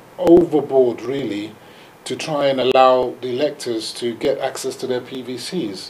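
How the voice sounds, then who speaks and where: Very slow male speech with light noise in the background. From Nigeria. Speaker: director of a diaspora institute; studio guest or host. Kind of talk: TV panel discussion. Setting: studio. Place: studio. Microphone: lapel.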